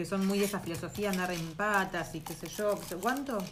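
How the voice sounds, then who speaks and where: A woman with a Rioplatense accent speaks at a fairly quick pace in a medium-pitched voice with ordinary pitch variation, with audible room echo. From Argentina. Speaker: podcast co-host. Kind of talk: casual chat.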